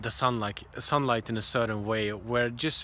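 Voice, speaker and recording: A bright, sharp tone comes through at a moderate pace in a dry sound with no echo. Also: man. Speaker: travel vlogger. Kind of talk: casual vlog chat. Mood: calm, reflective. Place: open country. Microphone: phone near.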